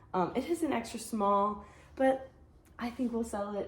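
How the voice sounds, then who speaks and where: Noticeable background noise accompanies a woman's voice. She speaks at a moderate pace with ordinary pitch variation. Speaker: online clothing reseller. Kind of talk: casual vlog haul. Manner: hesitant fillers.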